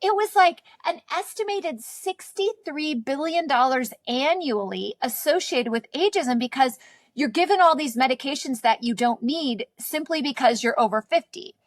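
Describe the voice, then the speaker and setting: In a dry, close sound with no echo, a woman with a high voice talks at a moderate pace, her pitch swinging very widely. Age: 40s. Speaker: naturopathic doctor, podcast host. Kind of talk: interview.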